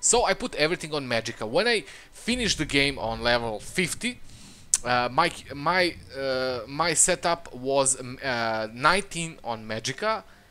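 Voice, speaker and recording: With lively intonation and a bright, sharp tone, a man speaks at a moderate pace in a fairly high pitch. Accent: non-native. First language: not English. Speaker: gaming channel host. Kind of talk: tutorial. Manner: halting, many fillers.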